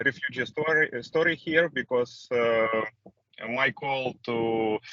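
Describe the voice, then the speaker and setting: This man speaks very slowly with a Ukrainian accent. His pitch is medium and his intonation fairly even. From Ukraine. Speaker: refugee. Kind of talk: testimony. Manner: halting, many fillers.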